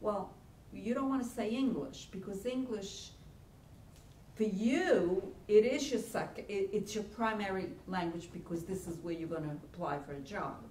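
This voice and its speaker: Over noticeable background noise and audible room echo, a woman speaks at a fairly slow pace with lively intonation. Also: medium pitch for a woman. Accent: Italian. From Italy. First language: Italian. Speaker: college career center director. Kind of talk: workshop lecture. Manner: halting.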